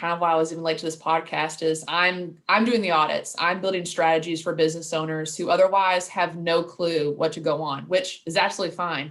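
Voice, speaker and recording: A woman with a Louisville accent speaks at a fairly low pitch. She moves at a fairly quick pace with hardly any pauses. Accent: Louisville twang. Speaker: marketing director. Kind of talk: casual interview chat.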